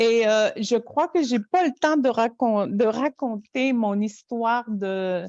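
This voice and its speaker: Speaking at a very slow pace, a woman with a fairly high voice keeps her loudness very even, with ordinary pitch variation and a dry, close sound with no echo. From Quebec, Innu community of Natashquan. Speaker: storyteller. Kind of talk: interview conversation. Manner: halting.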